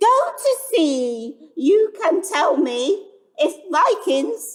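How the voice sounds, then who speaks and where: A woman puts on a character voice with a wheezy edge. Her pitch swings very widely. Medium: read story.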